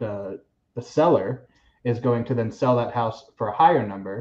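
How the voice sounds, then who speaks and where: Against a quiet background, a man with an American accent speaks in a somewhat breathy voice with fairly even intonation. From Florida, Seminole County. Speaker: realtor. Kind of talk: casual chat.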